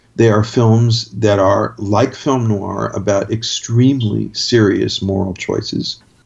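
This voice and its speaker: A very slow pace with hardly any pauses and fairly even intonation, over noticeable background noise. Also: man, fairly low pitch for a man. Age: 60s. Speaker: critic and playwright. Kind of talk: casual chat.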